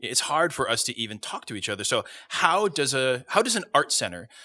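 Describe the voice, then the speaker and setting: This man talks at a moderate pace with a medium pitch and a bright, sharp tone. The recording is very clean, with a silent background. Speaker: podcast host. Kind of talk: casual conversational podcast discussion. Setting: on stage in a theater.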